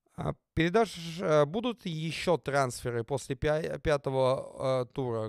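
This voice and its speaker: A man with a plain, everyday voice and a fairly high pitch uses ordinary pitch variation, the sound dry with no echo and the background quiet. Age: 30s. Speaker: football player and youtuber; youtuber. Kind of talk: casual vlog Q&A. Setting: studio. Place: home room. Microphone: studio mic.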